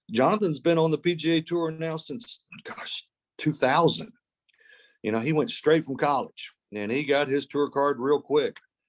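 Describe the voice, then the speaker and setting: Recorded with a dry, close sound and no echo, a man with an unremarkable speaking voice talks at a moderate pace, fairly high in pitch, with lively intonation. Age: 60s. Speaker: college golf coach. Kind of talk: podcast interview. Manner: repeats words often.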